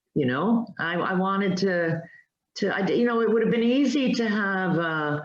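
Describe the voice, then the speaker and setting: A woman speaks at medium pitch and a moderate pace with lively intonation and very even loudness. Audible room echo surrounds her voice. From multicultural upbringing, not Irish. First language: Spanish. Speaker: writer. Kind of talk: interview.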